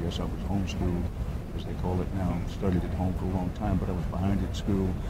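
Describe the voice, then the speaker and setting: Against loud background noise, a man with an American accent talks at a very fast pace in a dry sound with no echo. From Texas. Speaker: journalist, former news anchor. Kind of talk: interview answer. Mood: reflective, calm. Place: meeting room. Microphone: lapel.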